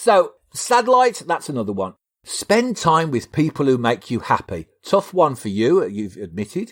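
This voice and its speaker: At a moderate pace, a man talks with very wide swings in pitch. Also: fairly high pitch for a man, very clean recording, silent background. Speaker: psychologist and podcast co-host. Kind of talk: casual podcast chat. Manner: halting, stammers at times.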